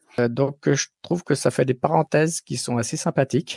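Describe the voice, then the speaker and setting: A man's voice with ordinary pitch variation, in a dry, close sound with no echo. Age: 50s. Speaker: technical development manager. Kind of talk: testimonial interview answer. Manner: hesitant, many fillers.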